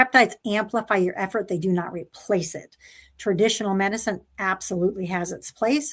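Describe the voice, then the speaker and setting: On a very clean recording with a silent background, a woman with a plain, everyday voice speaks at a fairly quick pace. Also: medium pitch for a woman, ordinary pitch variation. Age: 60s. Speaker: pediatric neuropsychologist, panelist. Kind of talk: personal testimony in live panel. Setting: live stream.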